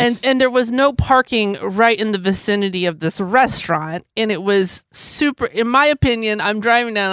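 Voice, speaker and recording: A plain, everyday voice: a woman with a fairly high pitch, lively intonation and a moderate pace, recorded very cleanly against a silent background with a dry, close sound and no echo. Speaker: podcast host. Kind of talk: casual chat, storytelling.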